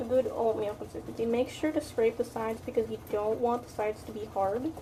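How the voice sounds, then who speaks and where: Over noticeable background noise, a woman speaks at a fairly quick pace, fairly high in pitch with fairly even intonation. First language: not English. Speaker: cooking video creator. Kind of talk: casual cooking tutorial. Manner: casual, halting with restarts.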